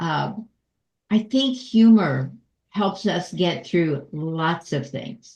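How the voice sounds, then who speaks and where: A woman at a fairly low pitch, somewhat breathy, very slow, with lively intonation. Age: 80s+. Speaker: nonprofit consultant and comedian. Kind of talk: virtual panel discussion.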